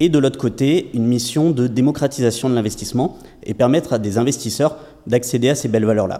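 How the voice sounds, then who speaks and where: The voice has a dark, mellow tone, moving at a fairly quick pace with ordinary pitch variation. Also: man, medium pitch for a man. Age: 30s. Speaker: startup founder and investment platform entrepreneur. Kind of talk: podcast interview.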